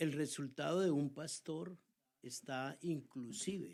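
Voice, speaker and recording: A man speaks with lively intonation. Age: 60s. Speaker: pastor. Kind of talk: casual chat.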